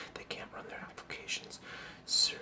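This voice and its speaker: A whisper comes through over noticeable background noise. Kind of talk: news article reading. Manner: whispered.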